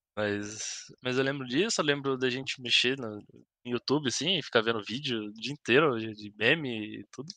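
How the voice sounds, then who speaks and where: Against a quiet background, a man with a Paraná accent speaks in a bright, sharp tone. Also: medium pitch for a man, ordinary pitch variation, moderate pace, dry sound with no echo. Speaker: podcast guest, host's school friend. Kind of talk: casual chat. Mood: relaxed, reminiscing. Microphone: headset.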